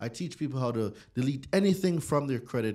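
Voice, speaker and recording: A man's dark, mellow tone with lively intonation, recorded very cleanly over a silent background. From Jamaica. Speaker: credit and consumer law educator. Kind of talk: casual interview. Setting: studio.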